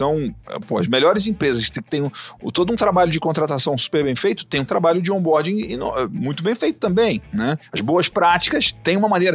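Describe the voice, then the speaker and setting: The man's voice is high, with very wide pitch swings. He talks at a moderate pace. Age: 40s. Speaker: agribusiness entrepreneur. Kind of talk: podcast interview.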